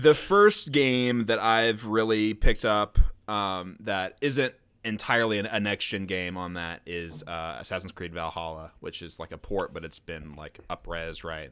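On a very clean recording with a silent background, a man with an unremarkable speaking voice talks at a fairly slow pace and a fairly low pitch, his intonation lively and his loudness swinging widely. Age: 20s. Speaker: gaming podcast co-host. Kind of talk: casual chat.

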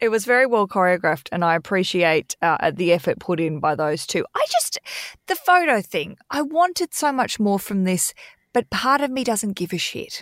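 An Australian-accented woman at medium pitch, with very wide pitch swings and a moderate pace, in a dry, close sound with no echo on a very clean recording with a silent background. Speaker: podcast host and author. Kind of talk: casual chat.

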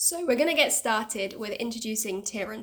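Here a woman talks in a Bristol accent with a fairly high pitch. She keeps a moderate pace. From Bristol, England. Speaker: podcast co-host, dance teacher. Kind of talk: casual podcast introduction.

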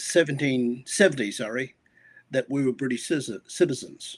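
In an Australian accent, a man talks very slowly at a fairly high pitch with ordinary pitch variation. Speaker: pastor. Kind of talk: casual interview conversation. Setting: video call.

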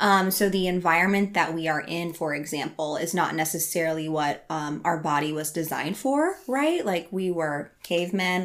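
A woman with an American accent and a normal speaking voice talks at a moderate pace, her fairly low pitch showing ordinary variation. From Iowa, US Midwest. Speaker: life and health coach. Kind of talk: casual interview.

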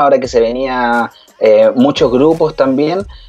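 Noticeable background noise accompanies a man. He speaks at a fairly slow pace. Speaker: TV show co-host. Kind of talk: casual chat and news commentary on live TV. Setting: home office, remote broadcast.

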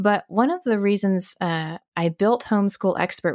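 An American accent, an ordinary speaking voice, ordinary pitch variation and a moderate pace come through a very clean recording with a silent background and a dry, close sound with no echo. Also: woman. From Arizona, US. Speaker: podcast host, homeschool educator. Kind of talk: casual monologue answering listener questions.

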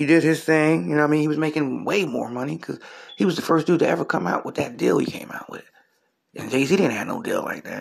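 A man talks at a very fast pace in an American accent. His intonation is lively. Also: fairly high pitch for a man. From US Northeast (Trenton, New Jersey). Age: 40s. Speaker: comedian and podcast host. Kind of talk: casual solo commentary.

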